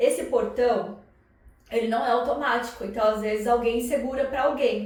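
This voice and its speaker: Over noticeable background noise and audible room echo, a woman with a fairly high pitch speaks in an animated tone. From Brazil, São Paulo. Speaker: psychoanalyst and vlogger. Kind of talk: casual vlog monologue. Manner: animated, conversational.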